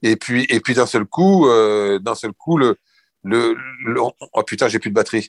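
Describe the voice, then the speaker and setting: A man at a medium pitch with ordinary pitch variation and a very slow pace. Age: 60s. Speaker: retired surf and skate shop founder. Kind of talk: interview.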